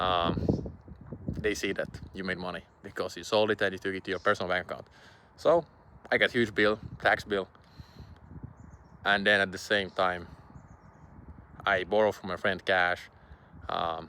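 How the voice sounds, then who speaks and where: With a Finnish accent, a man speaks at a moderate pace in a fairly low pitch with a bright, sharp tone. His intonation stays fairly even, broken by long, frequent pauses. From Finland. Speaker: online business creator. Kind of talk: casual vlog monologue. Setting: outdoors in public. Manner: hesitant, many fillers.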